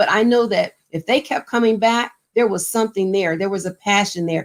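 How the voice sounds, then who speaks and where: Here is a plain, everyday voice from a woman at medium pitch. She moves at a fairly quick pace with ordinary pitch variation. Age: 60s. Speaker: mayor. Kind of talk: panel interview.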